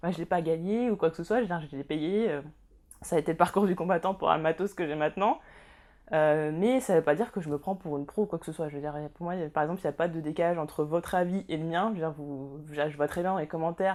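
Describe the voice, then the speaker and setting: A woman with a fairly low pitch speaks at a very fast pace with ordinary pitch variation. The recording is very clean, with a silent background. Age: 20s. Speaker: YouTuber. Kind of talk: casual vlog monologue.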